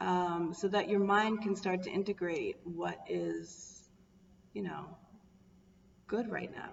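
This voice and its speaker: A woman talks very slowly, with noticeable noise in the background. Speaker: wellness coach. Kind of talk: live stream talk. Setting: Facebook live video.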